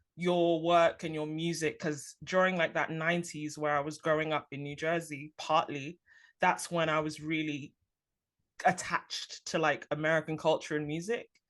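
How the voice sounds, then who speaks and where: In a London accent, a woman speaks at a moderate pace with a fairly low pitch. Her intonation is fairly even, and the background is quiet. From London, England. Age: 30s. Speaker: podcast host. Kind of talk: interview.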